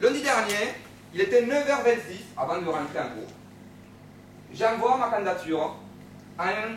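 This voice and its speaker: With audible room echo and noticeable background noise, a high-pitched man talks at a moderate pace with lively intonation and long, frequent pauses. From Romania, Bucharest. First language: Romanian (speaking French). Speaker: law student. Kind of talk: speech contest talk.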